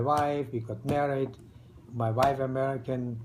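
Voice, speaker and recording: Audible room echo surrounds a man speaking at a moderate pace. His medium-pitched voice is monotone and flat. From East Germany. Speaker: retired restaurateur, immigrant. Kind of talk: interview. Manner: halting, with many fillers.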